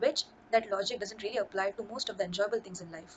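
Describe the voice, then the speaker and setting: This is an unremarkable speaking voice from a woman. Her pitch sits fairly high and varies in an ordinary way. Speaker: video commentator. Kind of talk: casual talk to camera.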